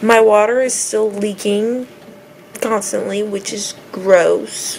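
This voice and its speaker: A woman speaks while some faint noise sits in the background. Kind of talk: casual vlog chat. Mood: relaxed, chatty. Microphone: phone near.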